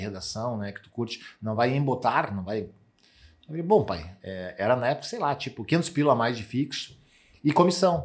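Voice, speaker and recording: A man's medium-pitched voice at a moderate pace, with lively intonation. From Rio Grande do Sul, Brazil (Santa Cruz do Sul). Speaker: sales executive. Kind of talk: casual chat. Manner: animated.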